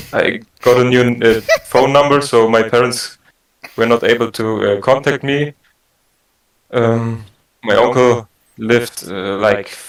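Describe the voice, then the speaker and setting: Speaking very slowly, a man has a German accent. His pitch is medium and his intonation fairly even. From Germany. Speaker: prank caller in online support meeting. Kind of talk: staged personal testimony. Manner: halting.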